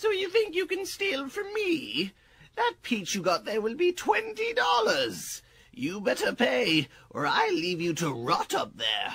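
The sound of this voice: A man performs a cartoonish character voice at an extremely high pitch. He speaks at a fairly slow pace.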